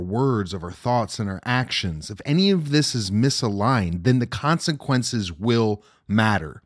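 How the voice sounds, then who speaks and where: The man's voice is fairly low, with lively intonation and an animated tone at a fairly slow pace. The recording is very clean, with a silent background. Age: 30s. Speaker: self-development podcast host. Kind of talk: motivational monologue.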